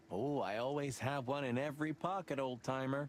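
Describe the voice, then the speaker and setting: Putting on a character voice, a man speaks at a fairly quick pace and medium pitch, with clear background noise. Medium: video game. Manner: sarcastic.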